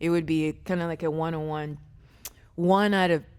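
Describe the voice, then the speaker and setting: Speaking at a moderate pace, a woman uses a very deep, low voice with fairly even intonation. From Ghana, moved to Pennsylvania at 13. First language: Twi. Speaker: fitness coach. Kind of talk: casual interview chat.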